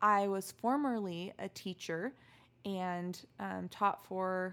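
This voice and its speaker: Heard on a very clean recording with a silent background, a woman speaks at a medium pitch with fairly even intonation, a plain, everyday voice. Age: 30s. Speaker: podcast co-host. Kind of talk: casual chat.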